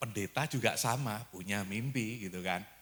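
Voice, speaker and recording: A man with an East Javanese accent speaks in an animated tone. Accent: Javanese dialect, Malang-Surabaya. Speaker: preacher. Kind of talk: sermon.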